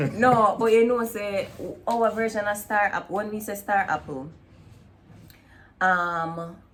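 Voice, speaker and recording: A woman speaks with a Jamaican accent at a fairly slow pace. Her pitch sits in the middle range, with ordinary variation. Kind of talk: casual talk to camera.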